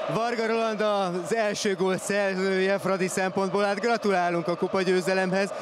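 Hardly pausing, a man with a high pitch speaks at a fairly slow pace in a monotone, flat intonation and very even loudness, over noticeable background noise. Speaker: pitchside reporter. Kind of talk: interview. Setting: stadium.

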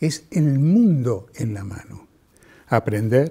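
Very slowly, a man speaks with lively intonation in a somewhat breathy voice with a dark, mellow tone. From Mendoza, Argentina. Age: 70s. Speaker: television journalist. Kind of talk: interview monologue. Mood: warm, reflective, engaged. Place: studio. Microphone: lapel.

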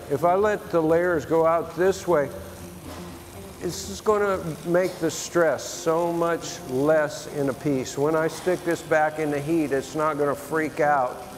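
A man speaks at a fairly slow pace with fairly even intonation. Light background noise sits behind him. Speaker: glass artist demonstrating. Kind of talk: tutorial. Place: bar. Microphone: lapel.

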